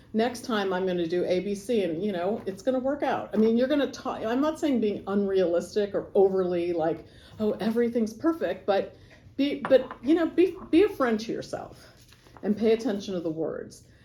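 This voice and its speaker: This speaker has an American accent and a dark, mellow tone. The pace is moderate, with very wide pitch swings. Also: woman, fairly high pitch for a woman. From Los Angeles, US. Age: 60s. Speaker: lawyer and service club volunteer. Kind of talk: motivational talk to youth. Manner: casual, hesitant with fillers.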